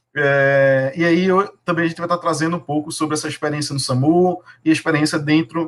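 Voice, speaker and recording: Speaking at a moderate pace with a northeastern Brazilian accent, a man keeps his intonation fairly even. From Brazilian Northeast. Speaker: emergency nurse, nursing manager. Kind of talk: live webinar panel talk.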